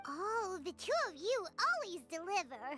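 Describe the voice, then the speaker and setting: In a put-on character voice, a woman talks at a fairly slow pace, squeaky and extremely high-pitched, with an upbeat, warm tone and clear music in the background. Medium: video game.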